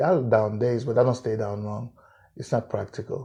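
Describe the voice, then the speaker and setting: Against a quiet background, a man speaks in a somewhat breathy voice with a dark, mellow tone. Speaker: musician. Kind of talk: interview answer.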